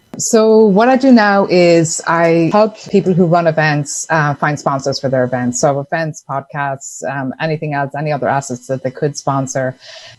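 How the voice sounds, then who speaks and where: With an Irish accent, a woman speaks at a very deep, low pitch. Her intonation is lively, with hardly any pauses. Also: moderate pace. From Ireland. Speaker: entrepreneur, sponsorship consultant. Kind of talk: podcast interview. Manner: casual, conversational.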